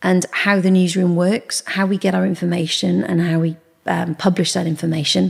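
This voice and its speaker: The voice is somewhat breathy, with a moderate pace and fairly even intonation. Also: woman, fairly low pitch for a woman. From Gloucestershire, western England. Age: 40s. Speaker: former TV news presenter and journalist. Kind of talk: interview. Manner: halting.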